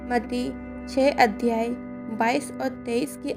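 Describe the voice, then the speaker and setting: With music behind her, a woman's voice sits at a fairly high pitch. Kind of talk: Bible sermon narration. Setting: voice recorded by herself for a devotional video with background music.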